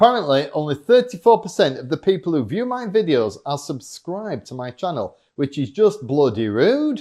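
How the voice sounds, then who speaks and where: With a Yorkshire accent, a man speaks at a high pitch and a moderate pace in a dark, mellow tone, his pitch swinging very widely and his loudness rising and falling sharply, with hardly any pauses. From Yorkshire, northern England. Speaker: fitness vlogger and motivational speaker. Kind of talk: scripted vlog monologue. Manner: animated.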